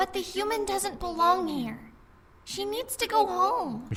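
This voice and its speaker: In a put-on character voice, the speaker delivers an energetic performance at an extremely high pitch and a fairly slow pace. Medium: video game. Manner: earnest, energetic.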